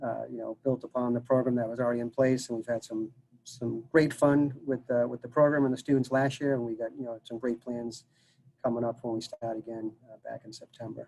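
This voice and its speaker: At a fairly quick pace, a man with a Massachusetts accent speaks at medium pitch in a dark, mellow tone, his intonation monotone and flat while his loudness swings widely. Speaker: college dining services director. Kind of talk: casual interview Q&A. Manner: halting, many fillers.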